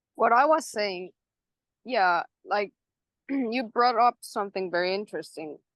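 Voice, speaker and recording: Speaking at a fairly slow pace with long, frequent pauses, a woman with a non-native accent uses lively intonation at a fairly high pitch, the sound dry and close with no echo. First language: not English. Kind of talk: casual chat. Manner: halting.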